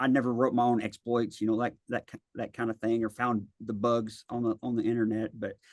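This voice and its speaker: A man speaks with a Tennessee accent. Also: dry, close sound with no echo. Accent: Southern US (Tennessee). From West Tennessee, near Memphis. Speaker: cybersecurity consultant, army veteran. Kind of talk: interview. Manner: hesitant, many fillers.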